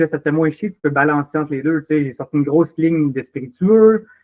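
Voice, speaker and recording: With a Quebec accent, a man speaks at a fairly quick pace in a fairly high voice with ordinary pitch variation. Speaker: drinks company operations manager. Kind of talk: casual interview. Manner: animated.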